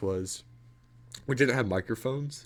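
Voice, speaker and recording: A man talks at a moderate pace. The background is silent and the recording very clean. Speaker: gamer livestreamer. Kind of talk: casual chat. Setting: livestream from game room. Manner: loud, projecting voice; speaking softly.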